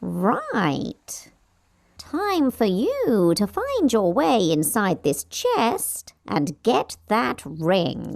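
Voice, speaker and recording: In a put-on character voice, a female-sounding speaker talks very slowly at a medium pitch. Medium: audio drama. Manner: meowing, sly.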